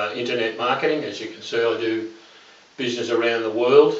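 A man with an Australian accent, with audible room echo. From Australia, Melbourne. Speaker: internet marketer. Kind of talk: testimonial. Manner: halting, many fillers. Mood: earnest, persuasive.

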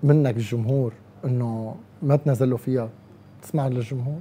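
The speech moves at a fairly slow pace. It carries a Syrian accent. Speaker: radio host. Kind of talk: casual interview. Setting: live audience. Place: studio. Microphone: lapel.

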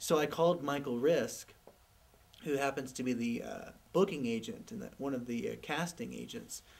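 At a moderate pace, a man speaks with lively intonation, vocal fry and big swings in loudness. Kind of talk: interview answer. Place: studio.

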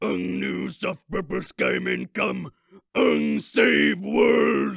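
A man's put-on character voice, raspy and very deep, at a very slow pace. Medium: dub.

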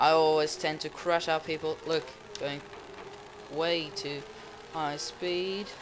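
A fairly high-pitched man with a non-native accent at a very slow pace. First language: not English. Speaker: gaming YouTuber. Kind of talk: gameplay commentary. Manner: excitable.

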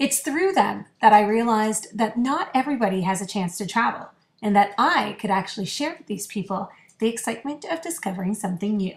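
Woman with a Canadian accent, fairly high-pitched and somewhat breathy, fairly quick pace, lively intonation, and big swings in loudness. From Canada. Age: 30s. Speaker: radio personality. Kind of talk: audition reel. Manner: animated.

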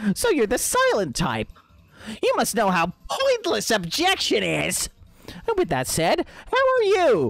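This put-on character voice moves at a fairly slow pace. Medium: game stream. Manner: mocking, gleefully rude; loud, exclaiming.

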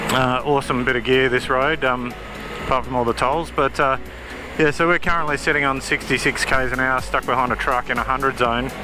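Clear background music, a fairly quick pace, and dry sound with no echo. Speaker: motorbike reviewer. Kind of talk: casual ride commentary. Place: motorbike. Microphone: helmet.

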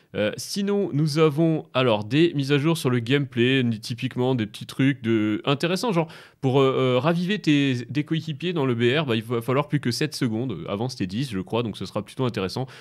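A man's medium-pitched voice with lively intonation over a quiet background. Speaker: gaming YouTuber and streamer; gaming YouTuber, streamer. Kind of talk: gaming commentary video. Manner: fast; hesitant, many fillers.

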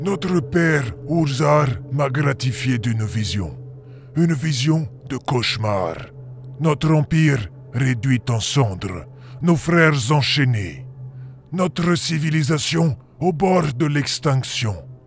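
Putting on a character voice at medium pitch, a man talks at a fairly slow pace with long, frequent pauses against clear background noise. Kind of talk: dark fantasy audio drama. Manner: grave, weary, foreboding.

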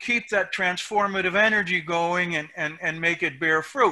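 With a raised, projected voice and a bright, sharp tone, a man speaks at a very slow pace in a high pitch over a quiet background. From Puerto Rico. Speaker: independence activist, film subject; panelist. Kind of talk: panel discussion. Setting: video call. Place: home room. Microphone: headset.

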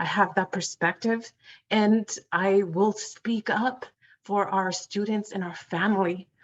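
At a fairly slow pace, a woman speaks in a flat monotone at medium pitch, the sound dry and close with no echo. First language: not English. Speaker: school board candidate. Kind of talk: debate answer. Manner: halting.

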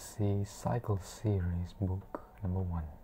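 Somewhat breathy and soft-spoken, a woman speaks in a very deep, low pitch with a dark, mellow, soothing tone over light background noise. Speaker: ASMR book reader. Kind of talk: bedtime story reading aloud. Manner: slow, soft-spoken, soothing. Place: home room. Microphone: lapel.

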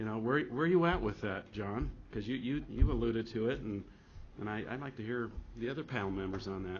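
A man with a fairly low pitch and ordinary pitch variation talks at a fairly quick pace.

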